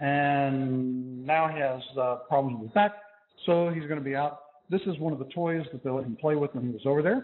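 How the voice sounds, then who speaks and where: A man talks at a moderate pace with ordinary pitch variation. His voice sits fairly high. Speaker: physics professor. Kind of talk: lecture. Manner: loud.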